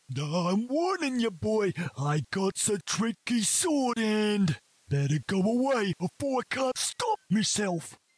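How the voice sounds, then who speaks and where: In a put-on character voice, someone growls at a fairly high pitch and a fairly slow pace. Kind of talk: rough, uneducated. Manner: snarling, menacing.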